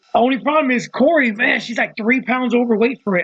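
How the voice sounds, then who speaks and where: An animated man, extremely high in pitch, at a fairly quick pace with ordinary pitch variation. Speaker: podcaster. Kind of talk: casual monologue. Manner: fast.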